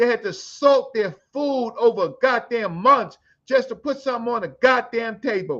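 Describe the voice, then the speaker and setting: Against a quiet background, a man with an extremely high voice speaks at a moderate pace. His tone is bright and sharp, with ordinary pitch variation. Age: 60s. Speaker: Afrocentric scholar and elder. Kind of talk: heated debate. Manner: animated.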